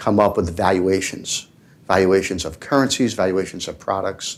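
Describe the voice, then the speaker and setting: Recorded very cleanly against a silent background, a man speaks with a New York accent. His pitch is fairly low with ordinary variation, and his pace is moderate. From New York City, Manhattan. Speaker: tech entrepreneur panelist. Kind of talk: panel discussion.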